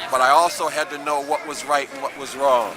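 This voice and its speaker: This man talks at a fairly high pitch in a monotone, flat delivery. Noticeable background noise runs underneath. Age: 60s. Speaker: activist, Vietnam-era veteran. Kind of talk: street interview.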